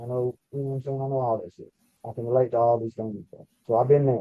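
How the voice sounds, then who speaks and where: Here is a man with a Southern US accent. His pitch sits in the medium range. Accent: country, rural Southern US. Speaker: podcast co-host, former prison inmate. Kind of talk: casual chat. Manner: animated.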